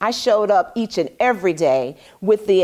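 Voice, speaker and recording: Over a quiet background, a woman speaks at a moderate pace with very wide pitch swings. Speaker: show host. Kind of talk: inspirational talk to camera. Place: studio. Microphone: lapel.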